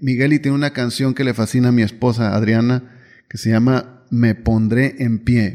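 A man's flat, monotone delivery at medium pitch, dark and mellow in tone, at a moderate pace against a quiet background. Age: 50s. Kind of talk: devotional reflection monologue.

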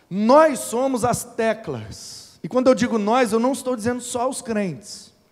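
A man with an extremely high pitch and ordinary pitch variation talks at a fairly slow pace with hardly any pauses. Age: 30s. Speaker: preacher. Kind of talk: sermon.

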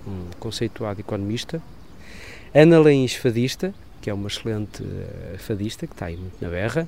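Lively intonation carries this man's speech along at a moderate pace. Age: 40s. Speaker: sound technician and journalist, amateur genealogist. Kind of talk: interview.

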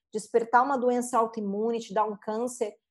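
Using a normal speaking voice, a woman with a fairly high pitch talks at a moderate pace over a quiet background. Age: 40s. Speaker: therapist and mandala artist. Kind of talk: interview.

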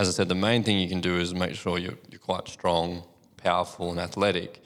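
In an Australian accent, a man with a very deep, low pitch speaks at a fairly quick pace. His intonation is fairly even, and the recording is very clean with a silent background. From country New South Wales, Australia. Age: 30s. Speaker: physiotherapist. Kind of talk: casual podcast interview.

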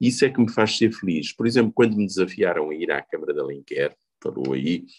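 A man's moderately paced speech comes across dry and close, with no echo at all. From Portugal, Covilhã (Beira interior). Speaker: politician. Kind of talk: interview.

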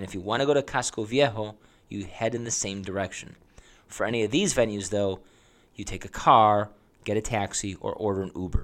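With an unremarkable speaking voice, a man talks at a fairly quick pace and fairly low pitch, using ordinary pitch variation. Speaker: travel podcast host. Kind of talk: scripted-style travel guide monologue. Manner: informal, chatty.

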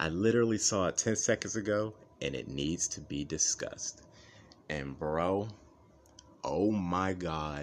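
A man's very deep, low voice, animated in tone, at a fairly slow pace with long, frequent pauses and ordinary pitch variation. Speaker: MMA podcast host. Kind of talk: casual chat. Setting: home recording.

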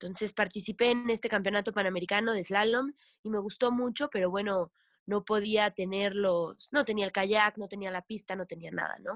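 Dry and close with no echo, the very clean recording of a woman has a silent background. She has a plain, everyday voice at a medium pitch, keeping a moderate pace and fairly even intonation. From Mexico, Veracruz (Tlapacoyan). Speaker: professional kayaker and kayak instructor. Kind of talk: casual interview chat.

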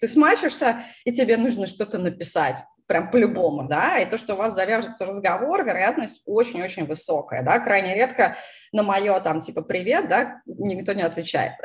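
A somewhat breathy woman's voice at a moderate pace. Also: medium pitch for a woman, lively intonation. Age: 30s. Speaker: YouTube channel host on product management. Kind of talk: casual live-stream interview. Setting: live stream over video call.

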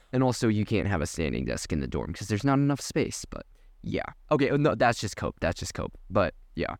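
A man with a fairly low voice and vocal fry speaks at a fairly quick pace in an animated tone, his pitch swinging very widely. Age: young. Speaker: podcast co-host. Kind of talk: casual chat.

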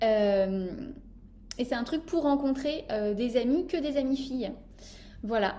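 High in pitch, a woman's voice has a dark, mellow tone and ordinary pitch variation. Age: 20s. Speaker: podcast host and life coach. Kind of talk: casual chat.

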